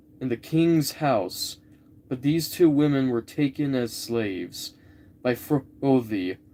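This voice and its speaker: Very slowly, a man speaks with lively intonation. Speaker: live streamer. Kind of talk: reading aloud. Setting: live stream. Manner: halting.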